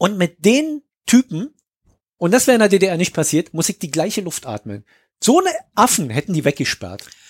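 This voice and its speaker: The man's pitch is high and swings very widely, his pace fairly quick despite long, frequent pauses. The sound is dry and close, with no echo. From East Germany. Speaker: podcast host. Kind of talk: casual chat.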